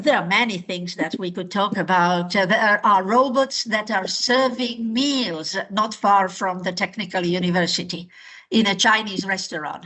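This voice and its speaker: A woman speaks with a medium pitch. Her pace is fairly slow. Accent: slight Slovak. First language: Slovak. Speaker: language teacher. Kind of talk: online class instruction. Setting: video call. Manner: hesitant, many fillers.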